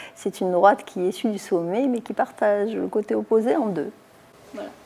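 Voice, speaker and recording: At a moderate pace, a woman talks at a medium pitch with ordinary pitch variation and a dark, mellow tone. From southern France, Toulon. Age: 70s. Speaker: mayor. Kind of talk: interview.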